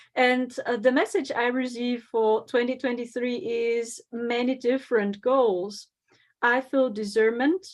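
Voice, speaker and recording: Her pitch is high, with ordinary variation. The woman speaks at a moderate pace in a German accent. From Germany. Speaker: psychic medium and spiritual teacher. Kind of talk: conference talk.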